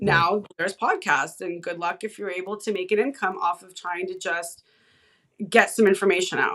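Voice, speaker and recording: A woman talks in an animated, bright, sharp tone, with big swings in loudness and ordinary pitch variation. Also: medium pitch for a woman, moderate pace. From California, San Fernando Valley. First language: Hebrew. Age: 40s. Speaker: independent researcher and content creator. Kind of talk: podcast interview conversation.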